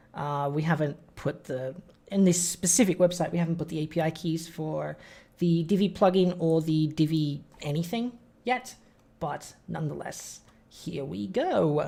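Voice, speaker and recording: A dark, mellow tone carries ordinary pitch variation at a moderate pace. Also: woman, fairly low pitch for a woman. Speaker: web design business owner teaching a webinar. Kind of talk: tutorial. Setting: live stream screen-share webinar. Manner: casual, conversational. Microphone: audio checked as good.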